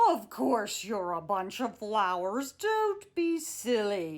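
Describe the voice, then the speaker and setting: A woman bellows in a put-on character voice, pitched fairly high. She speaks at a very slow pace. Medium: read story. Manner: bellowing, trumpeting.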